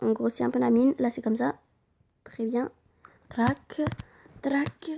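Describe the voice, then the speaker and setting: A woman's fairly high voice with a dark, mellow tone, on a very clean recording with a silent background. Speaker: drawing tutorial youtuber. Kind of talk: tutorial.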